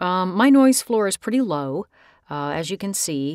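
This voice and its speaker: Her pitch is fairly low, and the woman's voice swings very widely in pitch. The recording is very clean, with a silent background. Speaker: voice actor. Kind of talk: software tutorial talk. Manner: casual, friendly.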